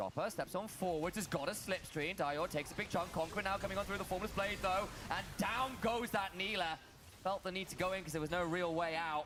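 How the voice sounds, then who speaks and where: Over music in the background, a man with a high pitch talks at a fairly quick pace and a very even loudness. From Britain. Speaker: esports commentator. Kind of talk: live commentary. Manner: animated play-by-play.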